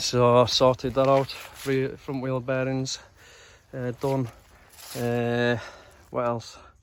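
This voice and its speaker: Over noticeable background noise, a man with a medium pitch talks at a very slow pace in a monotone, flat intonation, leaving long, frequent pauses. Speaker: dirt bike restorer. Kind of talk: casual talk to camera. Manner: casual, rambling.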